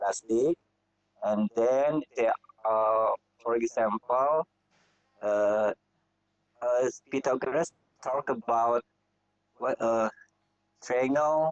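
A man's very slow, medium-pitched voice in an Indonesian accent, with ordinary pitch variation, very even loudness and long, frequent pauses, in a dry, close sound with no echo. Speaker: math teacher. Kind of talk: online teacher discussion. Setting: video call. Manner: halting.

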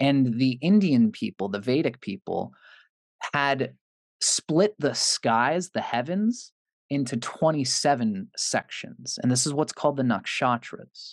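This man has a plain, everyday voice, pitched fairly high, with lively intonation at a fairly slow pace. The sound is dry and close with no echo, over a quiet background. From Canada. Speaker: astrologer. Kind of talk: interview explanation.

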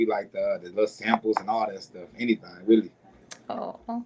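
With a Southern US accent, a man talks at a medium pitch and moderate pace with fairly even intonation. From US South, Mississippi. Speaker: rapper. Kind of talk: casual interview.

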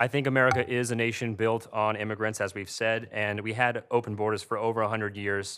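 Over a very clean recording with a silent background, a man speaks at a fairly quick pace in a fairly low pitch with flat, monotone intonation. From Indiana, US Midwest. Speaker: libertarian debater, think tank intern. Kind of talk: formal debate. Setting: auditorium with audience.

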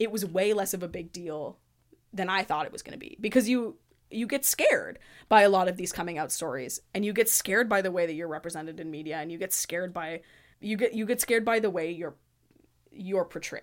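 A woman's ordinary speaking voice, medium in pitch, at a fairly quick pace, with ordinary pitch variation and big swings in loudness. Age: 20s. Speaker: visual artist and theater designer. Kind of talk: casual chat.

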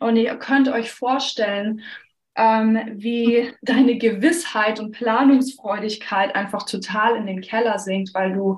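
A somewhat breathy woman speaks at a very slow pace, her fairly high pitch kept in fairly even intonation. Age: 30s. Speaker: pastor. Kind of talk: casual chat.

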